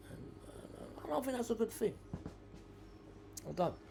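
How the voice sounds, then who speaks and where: A man with a London accent speaks at a fairly quick pace in a dark, mellow tone. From South London. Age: 60s. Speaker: podcast host. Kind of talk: casual monologue. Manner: halting, many repeated words; rambling, waffles.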